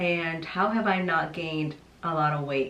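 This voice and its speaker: A woman talks at a fairly slow pace with a fairly low pitch. Noticeable background noise is present. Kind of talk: casual talk to camera.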